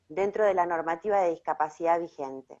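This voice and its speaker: A woman is speaking. The background is quiet. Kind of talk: online talk presentation.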